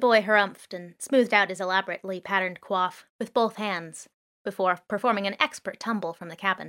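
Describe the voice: The background stays quiet. What you hear is plain reading aloud.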